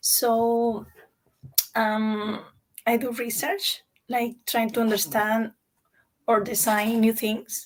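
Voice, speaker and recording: Delivered at a very slow pace with long, frequent pauses, the somewhat breathy voice keeps fairly even intonation. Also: woman, fairly high pitch for a woman. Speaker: chemical engineer. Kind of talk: career panel talk.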